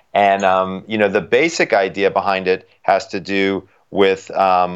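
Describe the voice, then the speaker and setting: The background is silent. A man talks with a very deep, low pitch. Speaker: sleep doctor. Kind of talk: interview.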